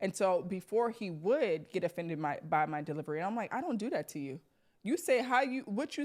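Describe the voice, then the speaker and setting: A woman talks at a fairly quick pace with very wide pitch swings. The recording is very clean, with a silent background. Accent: New York. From New York. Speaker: podcast host. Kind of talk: casual chat.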